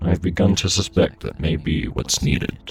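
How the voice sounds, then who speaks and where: Faint music plays in the background. A put-on character voice moves at a moderate pace. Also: man, very deep, low pitch for a man. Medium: audio drama. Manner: strong, firm, solemn.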